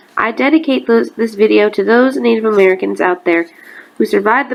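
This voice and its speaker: A woman's fairly quick speech comes with noticeable background noise. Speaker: amateur poet. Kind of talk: casual introduction to camera.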